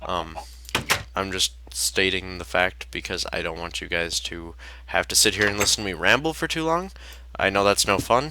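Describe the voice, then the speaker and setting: A shaky, very deep, low male voice moves at a moderate pace with very wide pitch swings. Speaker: gaming youtuber. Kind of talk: gameplay commentary. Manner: hesitant, many fillers.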